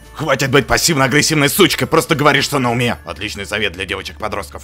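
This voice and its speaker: Over music in the background, the voice races at a very fast pace with very wide pitch swings. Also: man, medium pitch for a man. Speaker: fandub voice performer. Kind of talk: comedic fandub read. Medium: dub.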